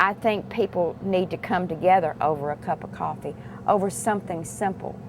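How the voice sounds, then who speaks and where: A woman with a fairly low pitch talks at a fairly slow pace. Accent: Virginia. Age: 60s. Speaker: restaurant worker. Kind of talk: interview.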